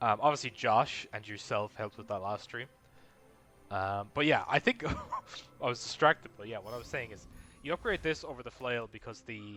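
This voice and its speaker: Against music in the background, a man mumbles quietly at a fairly quick pace and a medium pitch, with ordinary pitch variation, long, frequent pauses and big swings in loudness. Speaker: video game streamer. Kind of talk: live gameplay commentary. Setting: live stream at home. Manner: mumbling.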